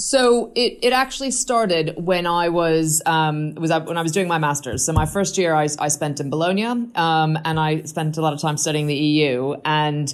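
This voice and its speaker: Speaking in an American accent, a woman uses a very deep, low pitch and lively intonation. She moves at a moderate pace with hardly any pauses, over noticeable background noise. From United States. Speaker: infrastructure project leader. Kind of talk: interview. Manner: halting.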